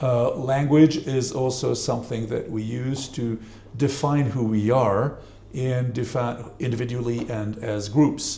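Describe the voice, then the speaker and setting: Over noticeable background noise and audible room echo, a man speaks fairly slowly at a medium pitch with fairly even intonation. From Switzerland. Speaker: professor. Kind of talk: panel discussion.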